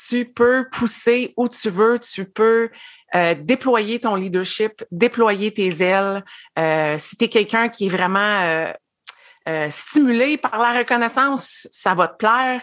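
A woman speaks at a very slow pace in a fairly high pitch, with big swings in loudness and ordinary pitch variation. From Quebec. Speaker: former education consultant, network marketer. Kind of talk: casual interview.

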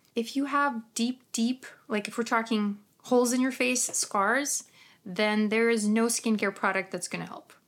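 Spoken with a Ukrainian accent, the delivery is animated and comes at a fairly slow pace. The recording is very clean, with a silent background. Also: woman, fairly high pitch for a woman. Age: 30s. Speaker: skincare professional and podcaster. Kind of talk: casual solo podcast talk, live stream. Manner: animated, casual, laughs often, swears.

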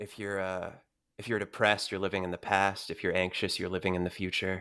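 Fairly low in pitch, a man with an American accent speaks at a moderate pace in a bright, sharp tone on a very clean recording with a silent background. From Texas. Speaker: voice actor. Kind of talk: interview. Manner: halting, many fillers.

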